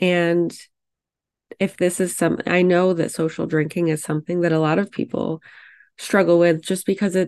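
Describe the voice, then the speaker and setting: In a normal speaking voice, a woman speaks at a moderate pace with a fairly low pitch. The background is quiet. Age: 30s. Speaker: podcast host, pharmacist and fertility coach. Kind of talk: solo podcast monologue. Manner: casual, reflective.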